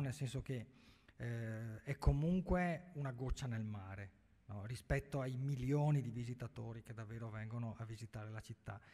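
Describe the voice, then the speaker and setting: A man speaks at a moderate pace in a dark, mellow tone that is somewhat breathy. His pitch varies in an ordinary way against a quiet background. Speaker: journalist and writer on Venetian history; journalist. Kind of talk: panel discussion. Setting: stage with audience. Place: hall.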